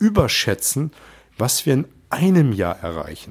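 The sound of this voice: A man speaks with a slightly mellow tone. His fairly slow delivery carries big pitch swings.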